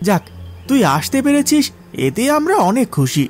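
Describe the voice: In a put-on character voice, a man speaks at an extremely high pitch with big pitch swings. The pace is fairly slow, with faint music in the background.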